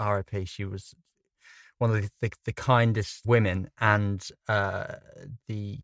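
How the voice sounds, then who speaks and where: Fairly low male pitch in a southern English accent, fairly even intonation, a dry, close sound with no echo, and a very clean recording with a silent background. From England. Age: young. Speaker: film director. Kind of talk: casual chat. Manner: mumbling.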